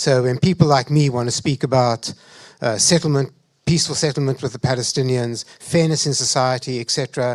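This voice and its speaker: A man's medium-pitched voice with a South African accent, fairly quick and fairly even in intonation, with a dry, close sound and no echo. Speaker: panelist. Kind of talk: panel discussion.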